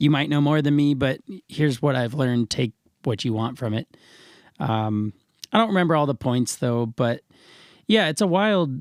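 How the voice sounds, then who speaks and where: A man with a fairly high voice speaks at a moderate pace with lively intonation and long, frequent pauses, recorded very cleanly against a silent background with a dry, close sound and no echo. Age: 20s. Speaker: professional musician. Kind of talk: casual interview chat.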